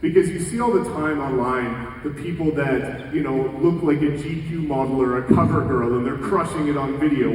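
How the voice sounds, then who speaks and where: A man with a fairly high voice and ordinary pitch variation is heard with audible room echo and noticeable background noise. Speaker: real estate coach and keynote speaker. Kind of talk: conference keynote talk. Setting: stage with audience. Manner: fast; energetic.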